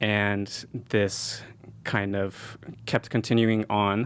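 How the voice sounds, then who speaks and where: A man with a fairly low voice speaks in a flat monotone, captured in a very clean recording with a silent background. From California (San Jose). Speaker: medical school applicant and lab instructor. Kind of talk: podcast interview. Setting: studio.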